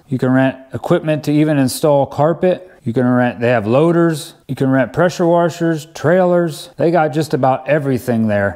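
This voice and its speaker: Over a quiet background, a man talks at a moderate pace in a dark, mellow tone with ordinary pitch variation. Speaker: DIY video host. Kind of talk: tutorial. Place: home room.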